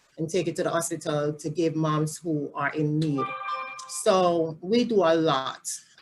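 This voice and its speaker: A woman with a Jamaican accent speaks at a very deep, low pitch and a fairly slow pace. Her intonation is fairly even, with music in the background. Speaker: family support specialist. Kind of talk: interview.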